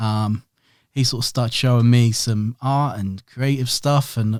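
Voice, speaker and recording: The speaker has a Norfolk accent and fairly even intonation. The sound is dry and close, with no echo. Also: man, very clean recording, silent background. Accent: Norfolk twang. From Norwich, Norfolk, England. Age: 30s. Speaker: print and design business owner. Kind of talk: podcast interview.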